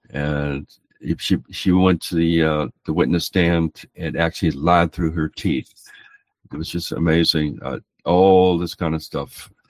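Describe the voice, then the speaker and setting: A man's very deep, low voice, monotone and flat, at a fairly slow pace, in a dry, close sound with no echo. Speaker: street preacher and court litigant. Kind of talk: casual storytelling.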